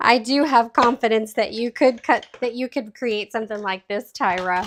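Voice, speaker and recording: A fairly high-pitched woman's voice with ordinary pitch variation, in a very clean recording with a silent background. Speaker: card-making demonstrator. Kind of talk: live craft tutorial. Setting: livestream. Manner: slow.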